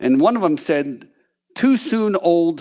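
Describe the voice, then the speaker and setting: A man at a very slow pace, with very wide pitch swings. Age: 60s. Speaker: congressional candidate. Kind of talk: campaign speech.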